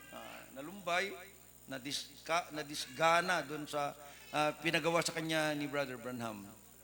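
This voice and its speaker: In a room with audible echo, a man speaks at a fairly slow pace. His pitch is fairly high, with ordinary variation. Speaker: preacher. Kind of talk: sermon. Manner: loud.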